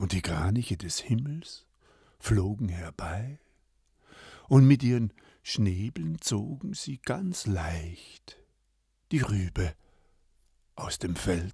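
A man speaks very slowly in a fairly low, somewhat breathy voice with a calm, gentle and dark, mellow tone, leaving long, frequent pauses on a very clean recording with a silent background. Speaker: storyteller. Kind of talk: bedtime-style fairy tale storytelling, read aloud. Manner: calm, slow, gentle storyteller pacing with character voices.

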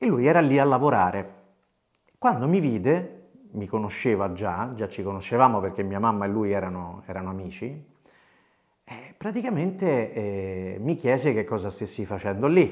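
Lively in intonation and fairly low in pitch, a man speaks at a moderate pace with long, frequent pauses over a quiet background. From Italy, Rome. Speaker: voice actor. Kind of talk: storytelling monologue. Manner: animated. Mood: warm, nostalgic. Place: home room. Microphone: lapel.

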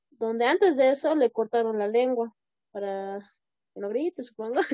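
Against a quiet background, a woman speaks at a fairly high pitch with a dry sound and no echo. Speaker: student. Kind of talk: classroom answers. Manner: hesitant. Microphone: video call.

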